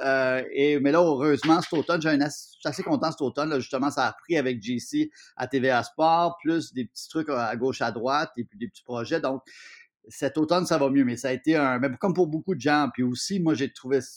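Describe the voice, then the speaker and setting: A man with a plain, everyday voice and fairly high pitch speaks at a moderate pace with ordinary pitch variation, the sound dry and close with no echo over a quiet background. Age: 50s. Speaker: TV host, columnist and actor. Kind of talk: casual interview.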